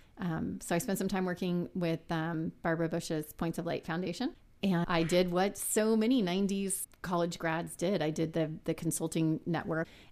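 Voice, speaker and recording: With an American accent, a woman speaks at a moderate pace in a normal speaking voice, fairly low in pitch and with hardly any pauses. The recording is very clean, the background silent. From South Texas, San Antonio. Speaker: business executive. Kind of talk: interview.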